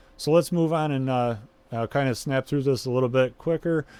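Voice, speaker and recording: The man's fairly even intonation comes through a dry sound with no echo. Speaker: crypto YouTuber. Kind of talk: screen-share tutorial. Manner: hesitant, many fillers. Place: home room. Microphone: new microphone, possible audio drift.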